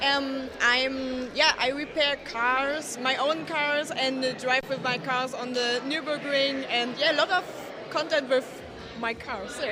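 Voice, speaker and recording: With crowd noise in the background and audible room echo, a woman with a German accent projects a raised, high-pitched voice at a fairly slow pace with fairly even intonation. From Germany. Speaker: automotive content creator. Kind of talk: casual interview. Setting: live event. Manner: halting.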